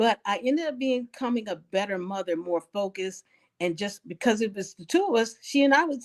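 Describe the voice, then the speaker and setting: A woman with an ordinary speaking voice, pitched fairly high, with lively intonation. The sound is dry and close, with no echo. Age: 60s. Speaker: elder interviewee. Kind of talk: life story interview. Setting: living room.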